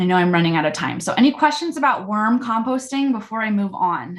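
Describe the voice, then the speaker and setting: Somewhat breathy, a woman speaks at a fairly quick pace in a fairly high voice with very wide pitch swings. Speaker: composting class instructor. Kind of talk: online class presentation. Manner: fast.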